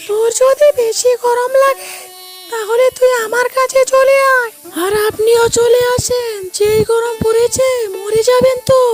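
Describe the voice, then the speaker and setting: A woman performs a cartoonish character voice at an extremely high pitch. She speaks fairly slowly in a monotone, flat intonation. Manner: gentle, coaxing.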